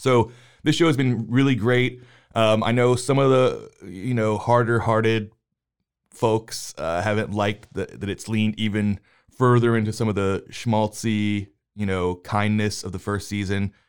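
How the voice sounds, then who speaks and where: A man with an unremarkable speaking voice talks at a moderate pace in a fairly low pitch, his intonation fairly even on a very clean recording with a silent background. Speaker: podcast host, movie discussion. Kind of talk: casual chat.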